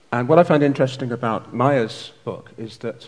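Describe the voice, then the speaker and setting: In an ordinary speaking voice, a man delivers his words at a moderate pace, his pitch shifting in an ordinary way. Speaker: event host and publisher. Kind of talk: formal event introduction. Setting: stage with audience.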